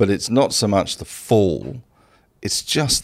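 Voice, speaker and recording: A man with an Australian accent, a fairly low voice, vocal fry and lively intonation, at a fairly slow pace. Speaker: investing mentor. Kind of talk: casual chat.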